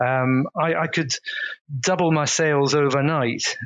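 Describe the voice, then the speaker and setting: A man's fairly high voice, fairly slow and fairly even in intonation, an ordinary speaking voice. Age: 50s. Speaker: organic farmer and butcher. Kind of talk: casual interview.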